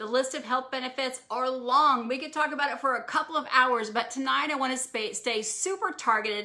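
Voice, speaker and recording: A woman with a high pitch speaks in a raised, projected voice, bright and sharp in tone, with ordinary pitch variation. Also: fairly quick pace, hardly any pauses. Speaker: wellness physician. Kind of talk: live stream health talk. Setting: live social media video. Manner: fast.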